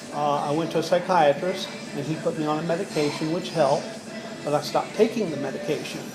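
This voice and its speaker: A man talks very fast at a fairly high pitch, with fairly even intonation. Room echo and noticeable background noise come through. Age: 60s. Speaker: care home resident with Parkinsonism. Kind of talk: interview.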